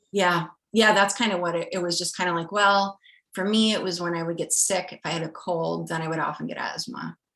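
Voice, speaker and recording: A woman's bright, sharp voice in a Midwestern American accent, fairly low in pitch, with fairly even intonation at a fairly quick pace. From rural US Midwest. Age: 30s. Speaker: scientist. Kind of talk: interview.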